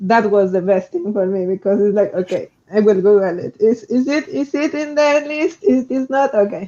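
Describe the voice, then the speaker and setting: With a strong non-native accent, this speaker keeps a moderate pace and hardly any pauses. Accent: strong foreign. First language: not English. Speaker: roboticist, researcher. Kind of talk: panel discussion.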